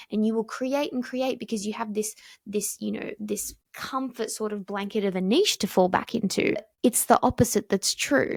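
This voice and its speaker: A somewhat breathy woman's voice in a very clean recording, silent in the background, dry and close with no echo. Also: fairly high pitch for a woman, ordinary pitch variation, moderate pace. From Australia. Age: 20s. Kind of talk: casual talk to camera.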